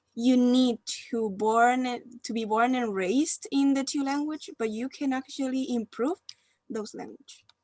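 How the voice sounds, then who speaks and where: A woman with a Spanish accent, high pitch and ordinary pitch variation at a fairly slow pace, in a dry, close sound with no echo and a very clean recording with a silent background. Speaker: university student. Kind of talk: group discussion.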